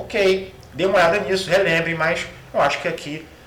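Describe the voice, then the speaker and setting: The man's delivery moves at a moderate pace. Noticeable background noise and audible room echo surround him. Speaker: Greek language professor. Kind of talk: lecture. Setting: recorded online class video. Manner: halting, many fillers.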